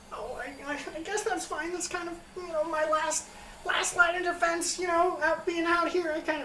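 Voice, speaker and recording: In a put-on character voice, the speaker goes fairly slowly at an extremely high pitch with an anxious tone, over clear background noise. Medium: actual play. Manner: eager, anxious.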